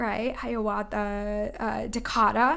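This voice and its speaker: A woman with a New England accent. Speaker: oracle card reader. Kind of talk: spiritual guidance talk. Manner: fast.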